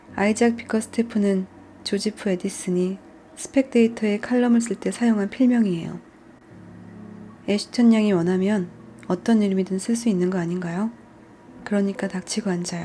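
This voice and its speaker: A woman with a medium pitch speaks with long, frequent pauses. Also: moderate pace. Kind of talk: audiobook reading. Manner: soft-spoken.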